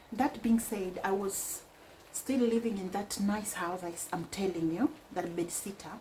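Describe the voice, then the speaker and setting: Over noticeable background noise, a woman speaks at a very slow pace in a medium pitch with ordinary pitch variation. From Kenya (Mombasa). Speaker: vlogger. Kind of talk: casual personal storytelling.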